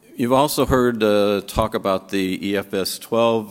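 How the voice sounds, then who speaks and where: In a normal speaking voice, the speaker moves at a moderate pace with ordinary pitch variation on a very clean recording with a silent background. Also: man. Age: 60s. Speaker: physician and lymphoma researcher. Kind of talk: conference lecture.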